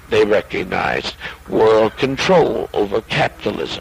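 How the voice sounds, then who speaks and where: The speech moves at a very slow pace, with noticeable background noise. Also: man. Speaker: cult leader. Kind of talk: reading a magazine article aloud with commentary. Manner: halting, stumbling over words.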